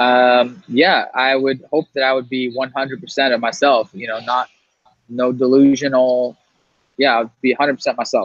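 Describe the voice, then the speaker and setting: This is a plain, everyday voice with fairly even intonation at a moderate pace. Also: man. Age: young. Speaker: podcast host. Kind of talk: casual chat.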